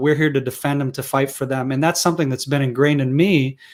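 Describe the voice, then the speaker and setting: A man talks with an American accent. His pitch is fairly high. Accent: sounds American. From Israel. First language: Hebrew. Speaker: security and defense expert. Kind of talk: interview.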